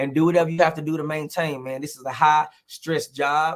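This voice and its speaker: With an American accent, a man talks in a fairly high pitch. His intonation stays monotone and flat. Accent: Texas twang, drawn out when relaxed. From Texas, Houston. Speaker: comedian and teacher. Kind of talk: casual interview chat. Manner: loud, outspoken.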